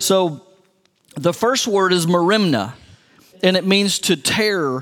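This is a man with a West Texas accent. His voice is high in pitch. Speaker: pastor. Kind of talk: sermon.

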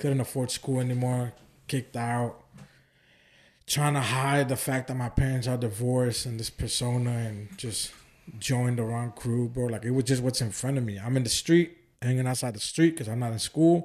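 With an American accent and an unremarkable speaking voice, a man speaks at a moderate pace and medium pitch, his intonation fairly even against a quiet background. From Oakland, California. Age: 20s. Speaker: evangelist and ministry founder. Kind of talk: casual chat.

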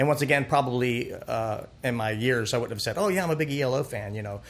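A man with an American accent, medium pitch with ordinary variation, and a very fast pace. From US South, South Florida (Pompano Beach). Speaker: singer-songwriter. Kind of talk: interview. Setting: studio. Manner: halting.

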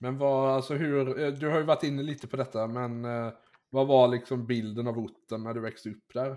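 A man with an unremarkable speaking voice talks at a medium pitch. His pace is moderate and his intonation fairly even. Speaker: podcast host. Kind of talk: casual interview chat.

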